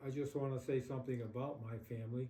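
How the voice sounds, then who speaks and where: A man's medium-pitched, somewhat breathy voice with a dark, mellow tone, monotone, flat intonation and a moderate pace. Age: 80s+. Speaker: elderly interviewee. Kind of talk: interview. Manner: halting.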